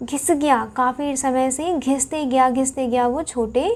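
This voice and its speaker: Her pitch is high. This woman speaks at a very slow pace. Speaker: current affairs teacher for exam aspirants. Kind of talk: lecture. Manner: casual Hinglish code-switching.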